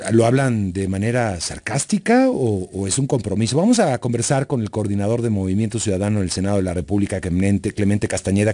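A fairly low-pitched man with a dark, mellow tone, talking at a very fast pace. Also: hardly any pauses. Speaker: radio news host. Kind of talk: radio interview.

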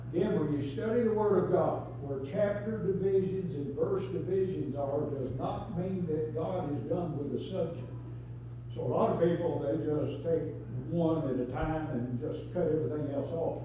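This man talks at a fairly slow pace with ordinary pitch variation. Strong room echo and light background noise surround his voice. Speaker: Sunday school teacher. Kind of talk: sermon. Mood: folksy, humorous teaching. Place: church. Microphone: camera far.

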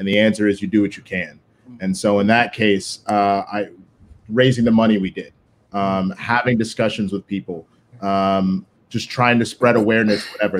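Fairly even intonation marks this man's fairly low voice, delivered with an American accent. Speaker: co-manager of a competitive team; guest. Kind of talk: live-streamed panel discussion. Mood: serious, earnest. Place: home room. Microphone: video call.

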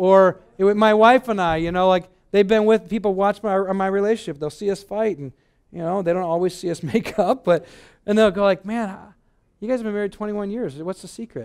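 A man talks at a fairly quick pace with an American accent. His pitch is high. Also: ordinary pitch variation, quiet background. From Michigan, US. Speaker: pastor. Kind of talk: sermon. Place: hall. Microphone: headset.

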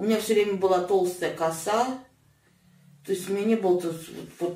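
A woman speaks at a moderate pace with a fairly low pitch and ordinary pitch variation. Room echo is audible. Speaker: fasting patient; guest. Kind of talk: casual interview. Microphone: camera far.

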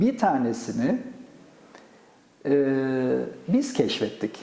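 A man at a very slow pace. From Gaziantep, Turkey. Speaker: astrophysicist, professor. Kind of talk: oral history interview answer.

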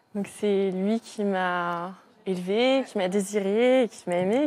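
The voice belongs to a woman and sits at a medium pitch. It varies in pitch in an ordinary way. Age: 20s. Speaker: donor-conceived person; guest. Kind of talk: testimony. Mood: calm, personal, earnest. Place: studio.

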